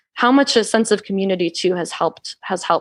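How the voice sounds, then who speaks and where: A woman with an American accent at a fairly quick pace, on a very clean recording with a silent background. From US South, Georgia. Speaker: author and witch. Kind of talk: podcast interview conversation. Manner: fast; casual, filler-heavy.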